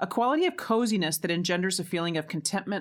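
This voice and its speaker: A woman with an unremarkable speaking voice at a fairly quick pace, with ordinary pitch variation, in a very clean recording with a silent background. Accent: American. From Arizona. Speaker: educator and co-host. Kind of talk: educational podcast talk.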